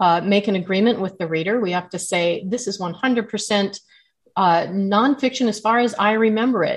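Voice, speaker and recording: This woman has an ordinary speaking voice with an American accent. She keeps a moderate pace and ordinary pitch variation. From Southern California. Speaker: memoir author. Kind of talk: interview.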